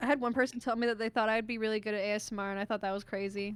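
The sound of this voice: A woman with an American accent talks at a very fast pace. Her fairly high pitch stays in monotone, flat intonation.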